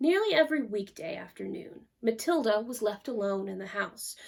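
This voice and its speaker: A woman talks in an ordinary speaking voice, pitched fairly high. Her intonation is lively and her pace moderate. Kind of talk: narrated story reading.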